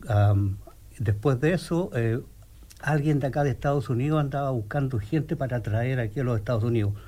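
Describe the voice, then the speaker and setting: The voice has a Chilean accent and a dark, mellow, somewhat breathy tone. It moves at a fairly quick pace with ordinary pitch variation and very even loudness. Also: man, medium pitch for a man. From Chile, Santiago. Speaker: physical therapist. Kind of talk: radio interview. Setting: radio studio. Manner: halting, repeats words.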